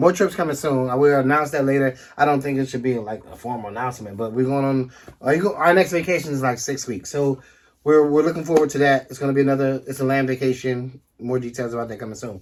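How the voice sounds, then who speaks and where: A man speaks very fast at a medium pitch, with ordinary pitch variation. The recording is very clean, and the background is silent. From Washington DC area. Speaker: couple vlogger, travel channel co-host. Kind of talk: casual chat.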